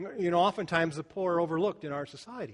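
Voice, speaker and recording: A man with an American accent and ordinary pitch variation, over a quiet background. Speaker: pastor. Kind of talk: sermon.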